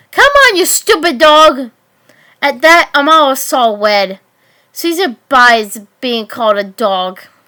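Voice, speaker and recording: A woman projects a raised, high-pitched voice with a bright, sharp tone. She speaks very slowly, with very wide pitch swings. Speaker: fanfic narrator. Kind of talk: fanfic story reading.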